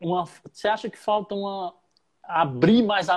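The background is quiet. A man is speaking. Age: 30s. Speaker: podcast host and rapper. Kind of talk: interview.

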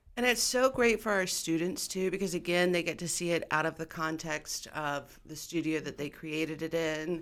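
In an ordinary speaking voice, a woman talks at a moderate pace with hardly any pauses, a fairly low pitch, and ordinary pitch variation. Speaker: college instructor. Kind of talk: interview. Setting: studio.

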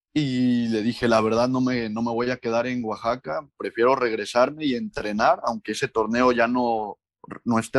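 Against a quiet background and in a dry, close sound with no echo, a man talks fairly slowly at a medium pitch in an unremarkable speaking voice. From Mexico, Córdoba, Veracruz. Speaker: professional footballer. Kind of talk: interview.

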